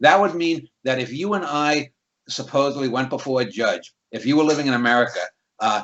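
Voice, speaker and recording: This man has a fairly high pitch and a slight New York accent. He talks at a fairly quick pace with ordinary pitch variation. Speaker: critic and channel host. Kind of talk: casual conversation, interview. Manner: many fillers and repetitions.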